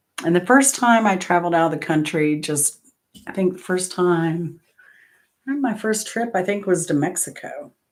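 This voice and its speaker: A woman's plain, everyday voice with an American accent, medium pitch, lively intonation and a moderate pace, on a very clean recording with a silent background. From Florida. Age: 60s. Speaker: trivia livestream host. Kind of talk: casual chat.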